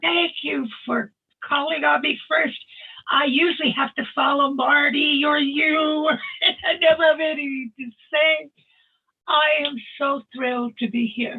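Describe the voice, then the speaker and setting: This woman speaks at a fairly slow pace in a high pitch with ordinary pitch variation. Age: 80s+. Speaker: webinar participant. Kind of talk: personal testimony.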